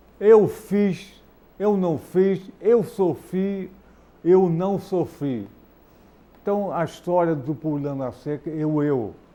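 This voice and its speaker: A man with a high pitch and a dark, mellow tone speaks at a very slow pace. His intonation is lively. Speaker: TV talk show host, physician. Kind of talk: TV talk show interview. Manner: animated.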